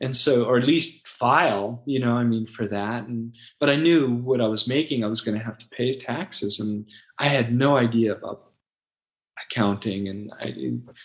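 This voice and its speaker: With an American accent, a man speaks at a moderate pace, his medium pitch showing ordinary variation. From US West Coast, Los Angeles. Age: 60s. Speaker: website founder and former ESL teacher. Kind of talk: interview. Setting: podcast interview. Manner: halting, many fillers.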